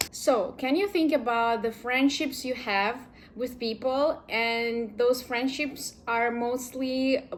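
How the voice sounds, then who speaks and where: With a Ukrainian accent, a woman speaks very slowly at a high pitch, with ordinary pitch variation. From Ukraine. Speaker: vlogger. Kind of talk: casual vlog talk.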